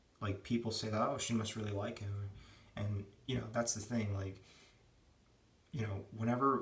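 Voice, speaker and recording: Quiet and somewhat breathy, the speaker holds a monotone, flat intonation at a moderate pace, with long, frequent pauses and audible room echo. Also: man, fairly low pitch for a man. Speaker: vlogger. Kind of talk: casual monologue. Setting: at home. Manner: speaking quietly.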